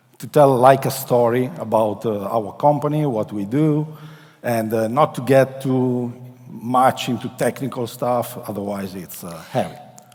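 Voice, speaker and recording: A man with an Italian accent at a fairly slow pace, ordinary pitch variation, and noticeable background noise. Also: medium pitch for a man, big swings in loudness. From Italy. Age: 40s. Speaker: company executive. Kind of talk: conference presentation. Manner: halting.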